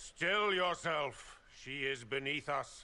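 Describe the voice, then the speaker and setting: A man puts on a raspy character voice at a fairly high pitch with ordinary pitch variation. He speaks at a very slow pace. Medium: video game. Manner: cold, haughty.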